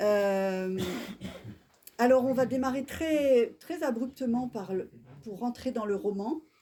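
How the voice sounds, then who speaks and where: A woman talks very slowly, with long, frequent pauses. Her pitch is high and her tone dark and mellow. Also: ordinary pitch variation. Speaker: bookseller hosting author talk. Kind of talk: bookshop author interview. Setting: bookshop event with live audience. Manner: soft-spoken, can't speak louder; hesitant, many fillers.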